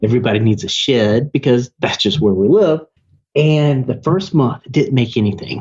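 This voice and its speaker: A man in a Southern US accent talks at a moderate pace and medium pitch, animated and somewhat breathy, with lively intonation and very even loudness. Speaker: digital marketing agency owner. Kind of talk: podcast interview.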